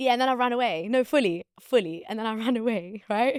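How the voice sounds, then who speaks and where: Dry and close with no echo, a woman with a London accent speaks in an animated tone, fairly high in pitch with ordinary pitch variation. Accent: London English, multicultural London. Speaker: podcaster. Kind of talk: casual chat.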